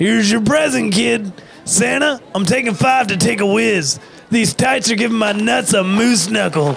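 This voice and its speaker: Putting on a whiny character voice, a man speaks at a moderate pace in a high pitch, with clear background noise behind him. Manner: whiny, rude slacker.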